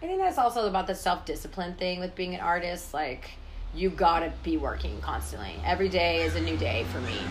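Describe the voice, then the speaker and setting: Amid noticeable background noise, a woman with an American accent speaks at a fairly quick pace. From San Francisco Bay Area, US. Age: 20s. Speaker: oil painter. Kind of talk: casual interview. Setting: in person in her studio.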